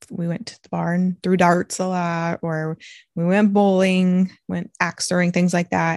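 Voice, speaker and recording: A woman's fairly low-pitched, fairly slow delivery in an ordinary speaking voice, with fairly even intonation, dry, close sound without echo, and a quiet background. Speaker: podcast host, NICU parent. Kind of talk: casual chat podcast. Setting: home recording, kids show playing in background.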